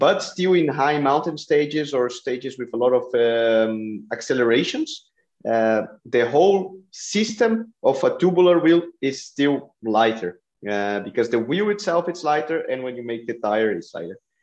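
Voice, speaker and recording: Lively intonation from a medium-pitched man with a Brazilian accent, at a moderate pace. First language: Portuguese. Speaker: cycling podcast host. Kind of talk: interview.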